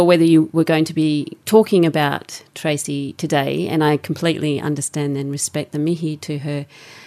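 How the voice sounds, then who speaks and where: A woman with an Australian accent speaks at a very deep, low pitch. Her tone is dark and mellow. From Australia, suburban Melbourne. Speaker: radio host and producer. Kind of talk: radio interview and scripted segments. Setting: radio studio.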